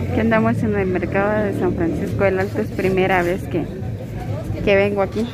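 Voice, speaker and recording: Loud background noise sits behind a woman speaking at a moderate pace. The sound is dry, with no echo. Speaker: vlogger. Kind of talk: casual vlog chat. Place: market. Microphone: phone near.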